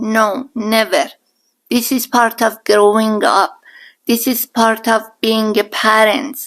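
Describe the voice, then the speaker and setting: A woman with a strong Iranian accent speaks very slowly at a fairly high pitch, her intonation fairly even. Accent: thick Iranian. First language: Persian. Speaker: podcast guest, mother-in-law. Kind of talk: casual interview chat.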